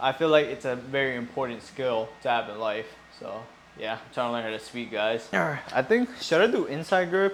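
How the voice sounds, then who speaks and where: Fairly quick, mumbled speech with lively intonation comes through audible room echo and noticeable background noise. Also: man. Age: 20s. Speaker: fitness vlogger. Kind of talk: casual gym vlog. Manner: mumbling.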